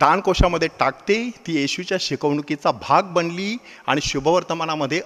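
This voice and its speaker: This man has a high pitch and a lively intonation. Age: 50s. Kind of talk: sermon.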